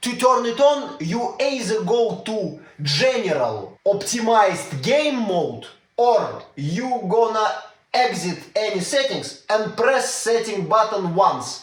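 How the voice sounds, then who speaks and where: A man with a Russian accent speaks very slowly in a high pitch, his intonation lively and the room echo audible. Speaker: tech YouTuber. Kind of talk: tutorial. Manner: casual, hesitant with fillers.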